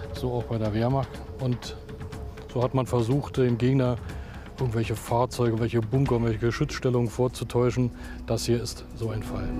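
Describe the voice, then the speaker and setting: Over clear music in the background, a man speaks at a moderate pace in a monotone, flat intonation, with long, frequent pauses and a dry sound with no echo. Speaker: bunker guide or expert. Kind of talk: interview answer. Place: open country. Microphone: lapel.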